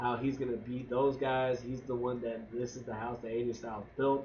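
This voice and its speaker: Audible room echo surrounds a man speaking at a moderate pace in a monotone, flat intonation. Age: 20s. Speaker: wrestling show podcaster. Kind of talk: casual review monologue.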